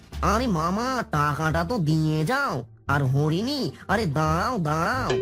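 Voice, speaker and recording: Clear music plays behind a cartoonish character voice at middle pitch, moving at a fairly slow pace. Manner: crude, boastful.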